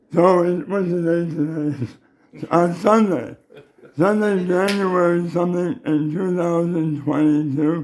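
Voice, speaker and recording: A man speaks very slowly in a high voice with fairly even intonation. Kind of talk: casual family talk to camera.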